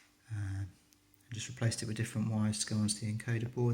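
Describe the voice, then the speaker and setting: A soft-spoken man with a British accent delivers his words at a fairly low pitch in a monotone, flat intonation. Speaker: retro gaming hobbyist. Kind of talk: casual tutorial talk to camera. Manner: quiet, soft-spoken.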